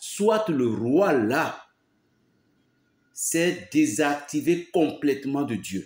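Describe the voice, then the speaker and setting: A man's fairly high voice at a very slow pace, broken by long, frequent pauses. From Benin. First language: a Beninese language, not French (speaking French). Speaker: pastor. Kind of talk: preaching monologue. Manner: emphatic, repetitive.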